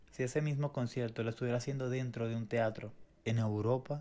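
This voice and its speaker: The voice moves at a fairly quick pace, dark and mellow in tone, with monotone, flat intonation. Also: man. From Venezuela. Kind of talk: faith podcast conversation, testimony.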